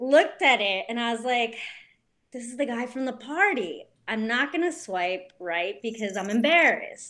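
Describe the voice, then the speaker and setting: A woman speaks in a New Jersey accent at a fairly high pitch with lively intonation and a moderate pace. The recording is very clean with a silent background. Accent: New Jersey American. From US, New Jersey. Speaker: bike brand co-founder. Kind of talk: casual interview chat.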